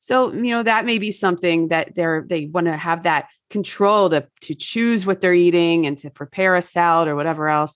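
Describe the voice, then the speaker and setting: In a normal speaking voice with an American accent, the speaker keeps a moderate pace and ordinary pitch variation. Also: woman, fairly low pitch for a woman. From New Jersey. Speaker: wellness author. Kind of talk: casual interview chat.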